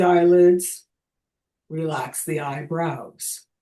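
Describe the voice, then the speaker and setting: A woman speaks in a dark, mellow tone. Her pace is very slow. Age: 60s. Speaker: artist and educator with Parkinson's. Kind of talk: seminar talk. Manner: halting, with repetitions.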